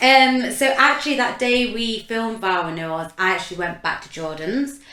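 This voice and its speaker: A woman talks in a bright, sharp tone with lively intonation. There is audible echo from the room. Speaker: podcast co-host, reality TV contestant. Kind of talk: casual chat.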